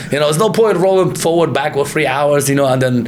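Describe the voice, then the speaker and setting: Over noticeable background noise and audible room echo, a man talks at a very fast pace with lively intonation. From Kurdistan, Iraq, moved to UK young. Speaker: martial arts fighter and gym owner. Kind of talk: casual interview chat. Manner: animated.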